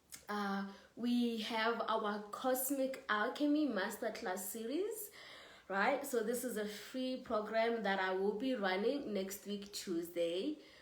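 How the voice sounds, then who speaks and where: Audible room echo surrounds a woman who speaks very slowly at a fairly high pitch. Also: ordinary pitch variation. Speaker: spiritual teacher. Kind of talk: livestream spiritual talk. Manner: casual, chatty.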